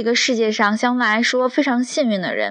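Over a quiet background, a woman with a fairly high, bright, sharp voice talks at a moderate pace with fairly even intonation. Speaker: architect and drawing teacher hosting a podcast. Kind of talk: reading aloud an essay, then casual monologue. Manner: frequent filler hesitations.

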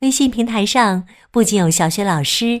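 A warm, gentle tone with lively intonation comes through at a fairly slow pace on a very clean recording with a silent background. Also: woman. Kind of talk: fairy-tale narration for young children, with character dialogue.

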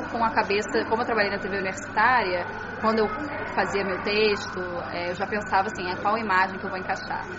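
The fairly high voice of a woman comes through with audible room echo and noticeable background noise. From Brazil, Niterói (Rio de Janeiro state). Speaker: journalist, former radio reporter. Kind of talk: interview, casual chat.

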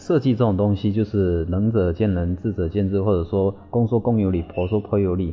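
This man's voice sits at a fairly low pitch. He talks at a moderate pace. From Quanzhou, Fujian, China. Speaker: landscape designer. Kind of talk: interview. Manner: halting, repetitive.

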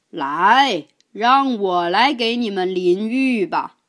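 A loud, resonant, female-sounding put-on character voice speaks very slowly at a fairly high pitch. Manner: hearty, cheerful.

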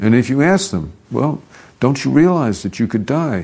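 A dark, mellow voice speaks at a fairly slow pace with very wide pitch swings. The background is quiet. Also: man. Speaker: investment adviser. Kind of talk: interview.

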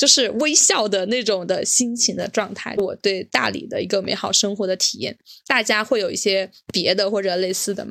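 A woman with a plain, everyday voice speaks at a moderate pace. Her pitch is medium, with ordinary variation. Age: young. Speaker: podcast co-host. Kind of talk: casual chat.

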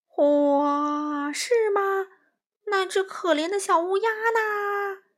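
On a very clean recording with a silent background, a woman puts on a character voice at an extremely high pitch and a very slow pace. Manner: scary, a little aggrieved.

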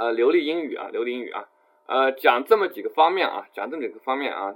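A man speaks at a fairly quick pace. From China, Jiangxi. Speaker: IT professional and English-learning blogger. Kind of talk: online talk / webinar lecture with Q&A. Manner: fast; frequent fillers and repetition.

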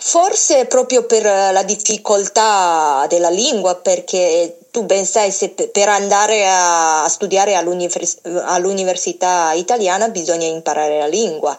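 A woman with a Chinese accent at a medium pitch, very slow pace, hardly any pauses and ordinary pitch variation. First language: Chinese (speaking Italian). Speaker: former table tennis champion, program manager. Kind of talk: phone interview. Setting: phone call. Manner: halting.

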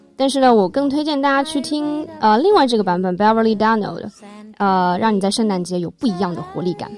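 A woman's fairly high, lively voice at a very fast pace, against noticeable background noise. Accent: Chinese. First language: Mandarin Chinese. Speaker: student radio host. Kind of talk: radio show. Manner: code-switching with fillers.

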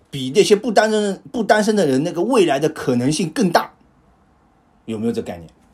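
A man speaks with a high voice. His pitch swings very widely. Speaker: podcast host. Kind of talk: casual chat.

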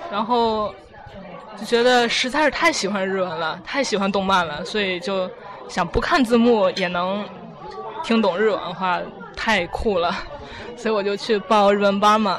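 Amid crowd noise and audible room echo, a woman speaks at a fairly slow pace in a medium pitch, with ordinary pitch variation and long, frequent pauses. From China, Tianjin. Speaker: university student. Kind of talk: casual interview. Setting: restaurant.

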